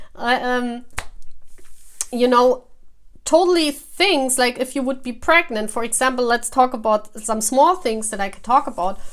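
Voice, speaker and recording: A woman with a non-native accent speaks at a moderate pace with a high pitch. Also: ordinary pitch variation. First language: not English. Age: 40s. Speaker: tarot reader. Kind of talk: casual talk to camera. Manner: halting.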